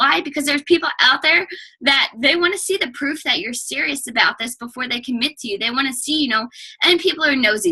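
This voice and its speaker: Raised and projected, a woman's high voice races along at a very fast pace. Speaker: fitness coach guest speaker. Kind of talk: team call presentation. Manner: loud.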